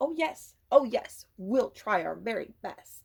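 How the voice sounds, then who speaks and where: A woman puts on a character voice, pitched fairly high. She delivers it at a fairly slow pace. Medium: read story. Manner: innocent-sounding, sly.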